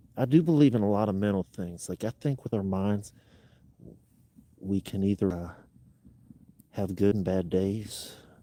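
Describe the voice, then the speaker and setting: Quiet and fairly low-pitched, a man with a dark, mellow tone speaks at a moderate pace with ordinary pitch variation and long, frequent pauses, the sound dry and close with no echo. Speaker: outdoor adventure streamer. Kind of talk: casual live stream chat. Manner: quiet, speaking lower.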